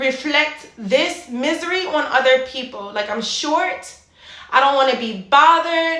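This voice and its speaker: A woman's raised, projected voice at a high pitch moves at a fairly slow pace with lively intonation, while room echo and noticeable background noise are heard. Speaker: fitness and mindset coach. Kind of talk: motivational monologue.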